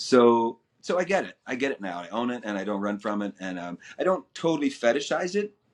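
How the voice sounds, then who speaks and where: Speaking at a fairly quick pace, a man uses a plain, everyday voice at medium pitch with lively intonation. Behind him the background is quiet. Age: 60s. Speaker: actor interviewed about a past web series. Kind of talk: casual interview.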